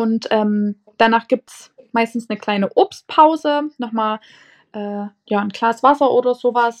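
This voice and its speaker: A woman with a Saxon accent speaks at a very slow pace with a fairly high pitch and ordinary pitch variation, in a dry, close sound with no echo. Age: 20s. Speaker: nursery teacher. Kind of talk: casual interview.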